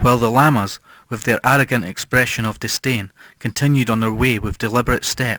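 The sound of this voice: The clip features an unforced reading voice.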